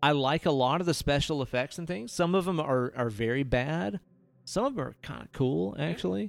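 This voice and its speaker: At a moderate pace, a man with a plain, everyday voice and fairly high pitch speaks with lively intonation. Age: 30s. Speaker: podcast host. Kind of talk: casual chat.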